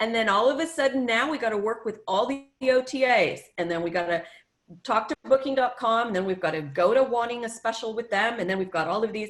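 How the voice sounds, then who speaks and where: A woman's plain, everyday voice, fairly high in pitch, with lively intonation and a moderate pace. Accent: American. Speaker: tourism marketing consultant. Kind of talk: workshop presentation. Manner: casual, many filler ums.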